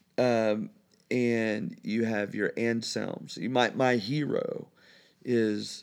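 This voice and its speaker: A man with an American accent speaks at a very slow pace. The recording is very clean, with a silent background. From Indiana, US Midwest. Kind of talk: casual interview. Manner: halting, many fillers.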